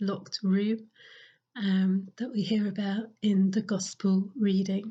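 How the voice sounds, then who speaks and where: A somewhat breathy woman's voice at medium pitch, with monotone, flat intonation. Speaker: parish priest. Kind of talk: sermon. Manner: hesitant, many fillers.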